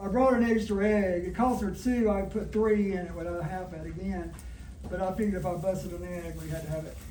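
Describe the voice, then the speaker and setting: A man speaks with a Southern US accent. Noticeable background noise and audible room echo fill the recording. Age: 60s. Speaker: cooking demonstrator. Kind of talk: cooking demonstration. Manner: conversational.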